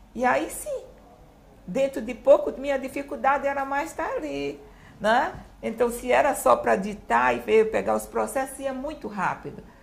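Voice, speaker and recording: With a Recife accent, a woman speaks at a moderate pace. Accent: northeastern Brazilian (Recife). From Brazil, Recife (Pernambuco). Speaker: retired public prosecutor. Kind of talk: interview.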